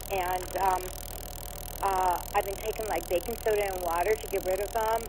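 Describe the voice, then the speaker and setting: Talking at a fairly quick pace, a woman with a medium-pitched voice keeps her intonation fairly even over noticeable background noise. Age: 70s. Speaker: caller. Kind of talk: phone-in question.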